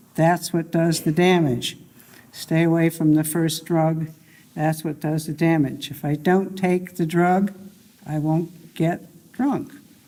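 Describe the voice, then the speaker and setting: A woman's fairly low, dark and mellow voice at a very slow pace. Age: 80s+. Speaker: recovering alcoholic, academic. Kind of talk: testimony. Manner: halting.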